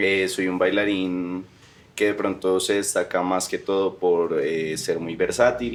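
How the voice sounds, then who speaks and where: Speaking at a very slow pace, a man uses a very deep, low pitch with fairly even intonation. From Colombia, Medellín. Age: 20s. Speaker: dancer and dance teacher. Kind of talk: casual interview chat.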